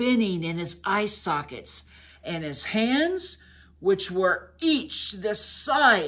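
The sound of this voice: The speaker uses an unforced reading voice. That voice carries the clip.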